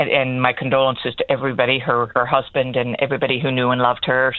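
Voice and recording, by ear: A woman with an extremely low pitch talks at a fairly quick pace.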